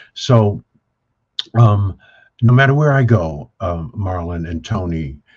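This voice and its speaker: Speaking at a very slow pace with long, frequent pauses, a man with a fairly low pitch sounds somewhat breathy as his pitch swings very widely. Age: 70s. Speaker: business speaker on wealth creation. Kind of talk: panel discussion. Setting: video call. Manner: animated.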